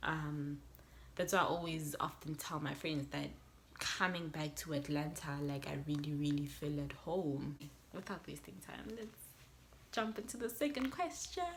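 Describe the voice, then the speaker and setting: A woman speaks with a very deep, low pitch, ordinary pitch variation and vocal fry. Audible room echo surrounds her voice. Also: moderate pace. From South Africa, west Johannesburg. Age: 20s. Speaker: YouTuber. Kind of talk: casual vlog talk to camera.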